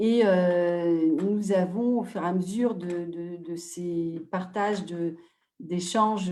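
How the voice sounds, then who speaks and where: The woman's voice carries a dark, mellow tone. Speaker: NGO president and advocate. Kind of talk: webinar talk. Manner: hesitant, many fillers.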